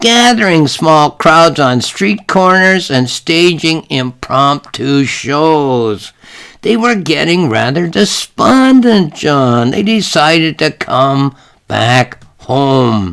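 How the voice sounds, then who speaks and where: In a put-on character voice with a fairly high pitch, a man speaks at a very slow pace. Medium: read story. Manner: warm, chatty, motherly.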